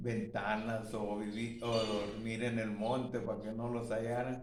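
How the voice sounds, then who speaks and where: A man's medium-pitched voice at a very slow pace, with audible room echo and noticeable background noise. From Guatemala, rural Jutiapa area. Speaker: elderly witness. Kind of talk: testimony. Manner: halting.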